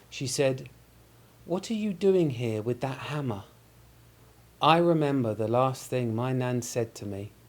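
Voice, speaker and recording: Lively intonation marks a man speaking with a London accent at medium pitch. He goes at a very slow pace, with long, frequent pauses. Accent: British (London). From London, England. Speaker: English teacher. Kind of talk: joke telling.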